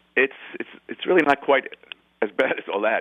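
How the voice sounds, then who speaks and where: This is a man speaking. He has a New York accent. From New York City (Bronx). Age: 50s. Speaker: rock guitarist. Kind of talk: interview.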